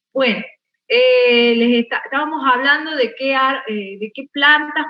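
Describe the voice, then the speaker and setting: A woman speaks with ordinary pitch variation. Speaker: botany teacher. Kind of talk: online class lecture. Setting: video call. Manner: slow, measured.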